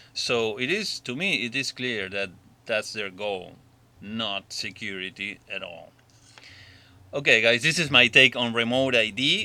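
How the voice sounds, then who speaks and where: A man with a non-native accent and a bright, sharp tone, at a fairly slow pace with ordinary pitch variation, in a very clean recording with a silent background. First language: not English. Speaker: drone hobbyist vlogger. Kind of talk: opinion monologue. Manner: halting.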